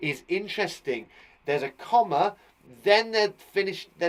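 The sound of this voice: Lively intonation in an unforced reading voice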